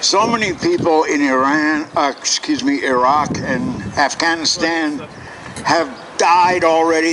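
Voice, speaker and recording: A man with an American accent speaks with ordinary pitch variation over noticeable background noise. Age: 60s. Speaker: protester. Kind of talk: protest speech.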